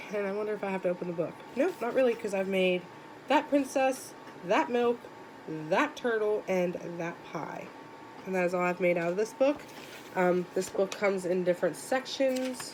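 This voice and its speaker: The speaker has lively intonation and a moderate pace, with long, frequent pauses. There is noticeable background noise. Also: woman, medium pitch for a woman. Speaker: crochet YouTuber. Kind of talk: casual book tag show-and-tell. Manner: casual, filler-heavy; volume varies.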